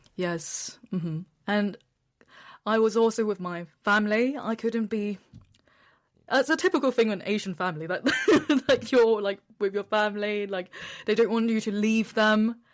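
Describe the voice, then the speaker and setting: With a British accent, a woman of fairly high pitch talks at a moderate pace with ordinary pitch variation and long, frequent pauses, on a very clean recording with a silent background. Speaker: travel content creator sharing depression story. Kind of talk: interview testimony. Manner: loud.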